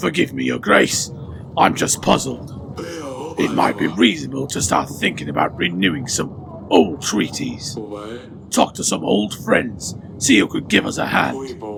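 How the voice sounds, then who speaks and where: Using a put-on character voice, a man speaks at a very deep, low pitch and a moderate pace. Clear background noise is present. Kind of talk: comedic game voice-over.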